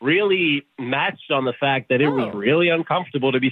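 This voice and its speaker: At a moderate pace, a man with an ordinary speaking voice talks at a fairly high pitch with ordinary pitch variation. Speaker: radio show phone guest. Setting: phone.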